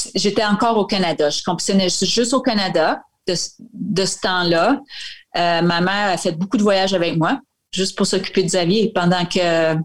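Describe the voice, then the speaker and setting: A woman with a plain, everyday voice, medium pitch, ordinary pitch variation, very even loudness and a moderate pace. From Acadia, northwestern New Brunswick (Saint-Quentin). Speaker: retired Olympic cross-country skier. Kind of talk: interview.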